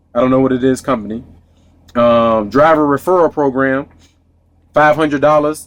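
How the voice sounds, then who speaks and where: Speaking with an American accent, a man of medium pitch keeps a moderate pace and fairly even intonation. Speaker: truck driver vlogger. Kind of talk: casual vlog monologue.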